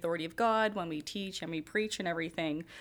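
Her voice is an unremarkable speaking voice, a woman with a fairly low pitch and fairly even intonation on a very clean recording with a silent background. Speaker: podcast host. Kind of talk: moderated panel discussion.

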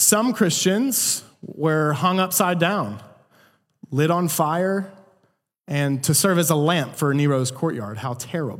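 Very slow speech with lively intonation and audible room echo. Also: man, fairly high pitch for a man. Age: 20s. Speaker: pastor. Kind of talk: sermon.

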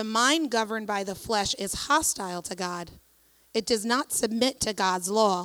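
A woman with an ordinary speaking voice talks at a fairly slow pace with fairly high pitch and ordinary pitch variation. The recording is very clean, with a silent background. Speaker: scripture reader at church. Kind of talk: reading aloud. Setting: church.

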